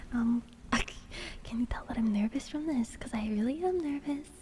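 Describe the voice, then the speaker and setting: Soft-spoken and high in pitch, a woman talks at a moderate pace with ordinary pitch variation amid noticeable background noise. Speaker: vtuber streamer. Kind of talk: ASMR livestream.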